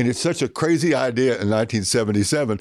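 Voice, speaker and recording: A man speaks at a moderate pace with a Southern accent. The recording is very clean, with a silent background. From Oklahoma. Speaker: stand-up comedian. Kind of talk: casual interview. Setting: backstage.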